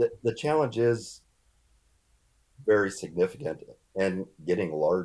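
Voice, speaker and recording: Using lively intonation, a man with an American accent speaks at a fairly slow pace. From California, San Joaquin Valley. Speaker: research scientist. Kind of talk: podcast interview.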